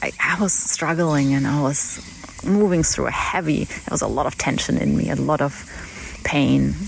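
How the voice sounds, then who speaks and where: The speaker has a German accent, and noticeable background noise can be heard. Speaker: podcast host. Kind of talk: reflective personal monologue. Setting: outdoors in a paddock with horses. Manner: halting, many false starts.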